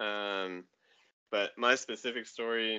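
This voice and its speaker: A man with an American accent, medium pitch, and a bright, sharp tone. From Colorado, US. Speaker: track cyclist. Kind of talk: casual interview conversation.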